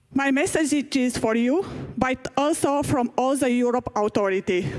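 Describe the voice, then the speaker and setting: A high-pitched woman speaks at a moderate pace against noticeable background noise. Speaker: patient association leader. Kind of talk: prepared speech. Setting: conference stage with audience. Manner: halting.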